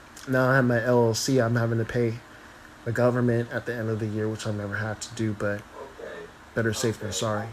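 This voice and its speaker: Monotone, flat delivery from a man at medium pitch, at a fairly quick pace. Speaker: astrologer and tarot reader. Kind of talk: casual live stream chat. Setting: live video stream.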